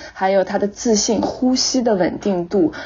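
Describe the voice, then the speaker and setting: At a moderate pace, a woman speaks. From China. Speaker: English-teaching social media creator and former actress. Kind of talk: interview.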